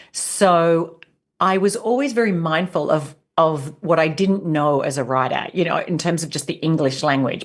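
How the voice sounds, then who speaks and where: Speaking in an Australian accent, a woman uses ordinary pitch variation in a very deep, low voice. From rural Australia. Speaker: leadership coach and author. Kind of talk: interview.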